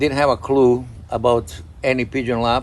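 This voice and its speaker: A man's voice with vocal fry, at a moderate pace. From Croatia. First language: Croatian. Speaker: pigeon breeder. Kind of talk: casual chat.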